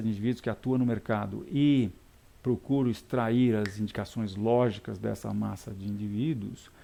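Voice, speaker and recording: The man's tone is dark and mellow, with ordinary pitch variation. He talks at a moderate pace against a quiet background. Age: 60s. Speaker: technical market analyst. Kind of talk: live market analysis webcast. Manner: halting, many repetitions and fillers.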